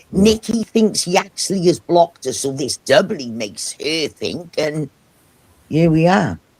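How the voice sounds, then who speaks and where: This man talks at a high pitch with a Cardiff accent, the sound dry and close with no echo. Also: lively intonation. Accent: Welsh, Cardiff. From Wales, Cardiff. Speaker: live streamer. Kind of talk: casual chat.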